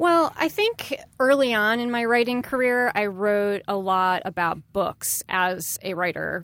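A woman with an American accent and a normal speaking voice, fairly high in pitch with lively intonation, at a fairly slow pace with hardly any pauses, on a very clean recording with a silent background. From US Midwest, Chicago area. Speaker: pop culture panelist and writer. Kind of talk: casual chat. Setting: studio.

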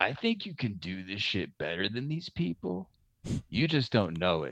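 A man puts on a raspy character voice at a fairly low pitch, moving at a moderate pace with very wide pitch swings. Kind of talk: casual, slangy.

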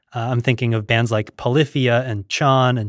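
On a very clean recording with a silent background and a dry, close sound with no echo, a man speaks at medium pitch and a moderate pace in a monotone, flat intonation. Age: 30s. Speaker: podcast host. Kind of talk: casual interview chat. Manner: dry, jokey, self-deprecating.

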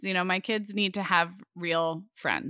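In a Californian accent, a woman with a fairly low pitch and bright, sharp tone speaks at a moderate pace with ordinary pitch variation, the sound dry and close with no echo over a quiet background. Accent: Californian American. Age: 40s. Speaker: podcaster and podcast producer. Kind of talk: interview conversation.

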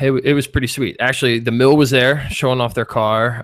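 A man with a Philadelphia accent speaks on a very clean recording with a silent background. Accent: Philly. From US Northeast, Philadelphia. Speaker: 3D artist and animation instructor. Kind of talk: casual interview chat.

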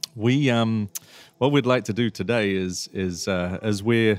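On a very clean recording with a silent background, a man speaks with fairly even intonation. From England. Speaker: podcast host, brewer. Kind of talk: casual interview chat. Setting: pub on location.

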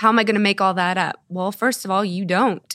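A woman with an American accent talks at a fairly quick pace and medium pitch with ordinary pitch variation, in a dry, close sound with no echo on a very clean recording with a silent background. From Texas, Dallas area. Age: 50s. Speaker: running coach. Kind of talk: interview. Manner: introverted.

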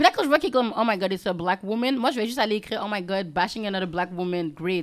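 Pitch varies in an ordinary way as the words come at a very fast pace. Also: woman. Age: young. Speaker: influencer and podcaster. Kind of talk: casual interview.

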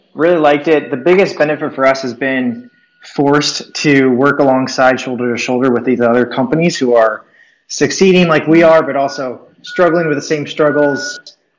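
A plain, everyday voice belongs to a man with a fairly high pitch. He keeps a moderate pace and ordinary pitch variation. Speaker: startup founder. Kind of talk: casual chat. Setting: remote call from an office.

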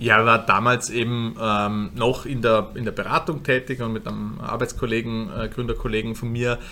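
With a bright, sharp tone, a man of medium pitch talks at a moderate pace with fairly even intonation. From Austria, Vorarlberg. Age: 30s. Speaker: funeral company co-founder. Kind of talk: interview. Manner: halting, many fillers.

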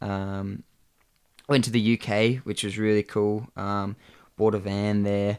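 A man's fairly low, monotone voice in an Australian accent, flat in intonation, at a very slow pace with long, frequent pauses, in a dry, close sound with no echo. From Australia, Blue Mountains NSW. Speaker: rock climber. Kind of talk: casual chat.

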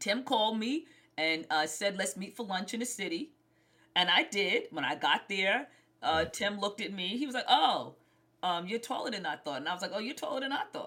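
With a New York accent, a woman of medium pitch speaks at a fairly quick pace, her tone bright and sharp and her intonation lively. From Brooklyn, New York. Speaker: singer and actor. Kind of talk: interview.

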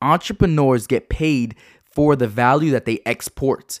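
The man's voice is medium in pitch with ordinary variation and an animated tone. The recording is very clean and dry, close and without echo, over a silent background. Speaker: entrepreneur and podcast host. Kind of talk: motivational monologue. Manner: fast.

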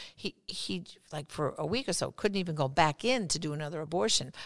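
A woman with an American accent speaks at a fairly quick pace in a very deep, low voice marked by vocal fry. Her intonation is lively. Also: quiet background. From New York. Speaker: pro-life activist and author. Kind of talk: interview.

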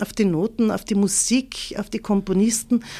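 In a dark, mellow tone with an East Tyrolean accent, the speaker talks at a fairly slow pace with monotone, flat intonation on a very clean recording with a silent background. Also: woman. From East Tyrol, Austria (Leisach near Lienz). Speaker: choir association chairwoman. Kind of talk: interview.

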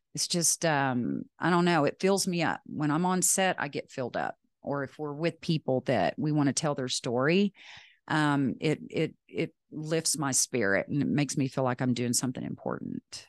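Her very deep, low voice carries a Texan accent, and this woman's intonation is lively. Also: moderate pace, dry, close sound with no echo, quiet background. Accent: Texan American. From West Texas. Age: 50s. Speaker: retired film producer. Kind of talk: casual interview chat. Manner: talkative.

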